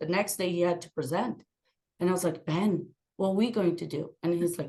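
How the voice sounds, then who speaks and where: Against a quiet background, a woman with a non-native accent speaks at a moderate pace and a fairly low pitch. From Brazil. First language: Portuguese. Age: 30s. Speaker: podcast guest, working mother. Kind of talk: casual chat.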